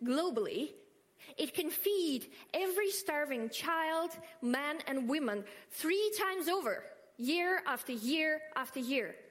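Her pitch is extremely high for a woman, with very wide pitch swings. She speaks at a fairly slow pace with a Russian accent. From Russia, Moscow. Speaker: food-waste activist. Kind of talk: speech.

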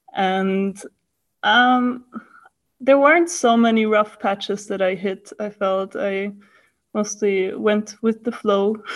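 Very slow speech with a German accent, ordinary pitch variation and long, frequent pauses fills the clip. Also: woman, fairly high pitch for a woman. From Austria, Vienna. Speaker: master's student. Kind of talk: casual interview.

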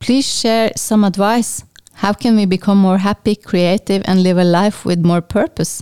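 Dry and close with no echo, this woman's voice has a dark, mellow tone at medium pitch, a moderate pace, very even loudness and fairly even intonation. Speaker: podcast host. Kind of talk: interview.

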